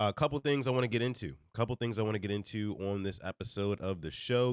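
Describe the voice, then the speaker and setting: A man with a fairly low voice speaks in an animated tone, the sound dry and close with no echo. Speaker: reaction show host. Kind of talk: live stream commentary. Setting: live stream.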